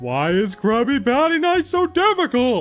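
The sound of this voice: A put-on character voice with very wide pitch swings over faint music in the background. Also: man.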